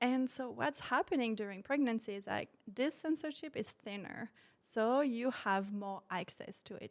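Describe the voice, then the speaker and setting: Speaking with a slight French accent, a woman with a fairly high voice keeps a moderate pace, her intonation lively and her loudness swinging widely. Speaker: postpartum doula and sophrology practitioner. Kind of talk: podcast interview. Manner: hesitant, many fillers.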